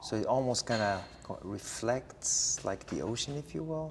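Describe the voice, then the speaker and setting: Medium pitch from a man with an Arabic accent, lively intonation and a moderate pace. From Morocco, Casablanca. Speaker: interviewee. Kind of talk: interview. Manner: halting, many fillers.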